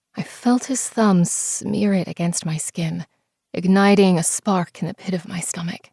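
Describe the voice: Plain reading aloud is heard against a quiet background.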